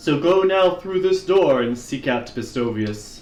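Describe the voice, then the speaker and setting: A man puts on a character voice with a fairly high pitch, speaking fairly slowly over light background noise. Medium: role play.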